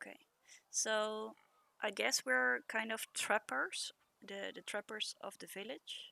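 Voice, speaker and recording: Heard as a dry, close sound with no echo, a woman with a Dutch accent speaks at a very slow pace, with long, frequent pauses and big swings in loudness. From Netherlands. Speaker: streamer. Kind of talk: gameplay commentary. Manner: halting, many fillers.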